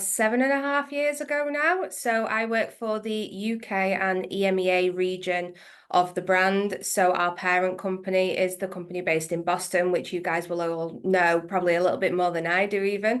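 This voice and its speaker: In an English accent, a woman speaks at a moderate pace and medium pitch. Her pitch varies in an ordinary way, with hardly any pauses. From northwest England. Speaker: accounts payable manager. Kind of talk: interview.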